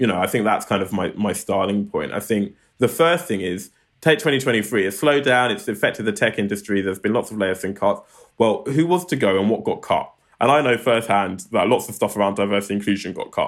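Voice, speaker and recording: A man in a London accent races along at a very fast pace, his fairly low-pitched voice full of lively intonation. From Southeast London, England. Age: 30s. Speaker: tech non-profit founder. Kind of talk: interview.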